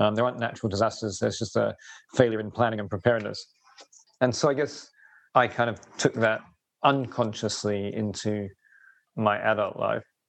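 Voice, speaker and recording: A man with a southern English accent talks at a fairly quick pace in a medium pitch, with fairly even intonation and long, frequent pauses. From southeast England, East Sussex. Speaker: urban resilience and sustainability consultant. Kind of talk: interview conversation. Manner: hesitant, many fillers.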